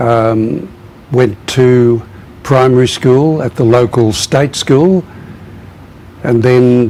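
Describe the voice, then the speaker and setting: Noticeable background noise sits behind a man speaking very slowly with an Australian accent. His pitch is medium, with ordinary variation. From southern Australia, dairy farm. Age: 80s+. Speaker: former priest, reconciliation worker. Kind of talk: interview.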